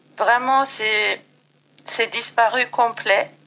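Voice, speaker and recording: Very slowly and in a flat monotone, a woman speaks at a fairly high pitch. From Iran. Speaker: yoga and Yi King practitioner. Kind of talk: podcast interview. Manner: hesitant, many fillers.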